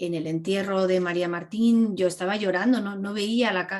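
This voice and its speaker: At a moderate pace, a woman talks in a medium pitch with ordinary pitch variation. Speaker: filmmaker. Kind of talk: class Q&A talk. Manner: animated.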